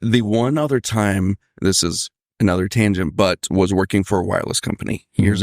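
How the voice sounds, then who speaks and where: Moderate pace and ordinary pitch variation from a man with a fairly low pitch, in a dry, close sound with no echo on a very clean recording with a silent background. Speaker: podcast guest, first time on a podcast. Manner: rambling, prone to tangents.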